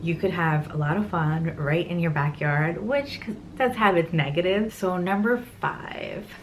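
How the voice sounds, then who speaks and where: Her voice is fairly low for a woman and somewhat breathy. She talks at a fairly slow pace. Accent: American. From New York City, Queens. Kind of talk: casual talk to camera.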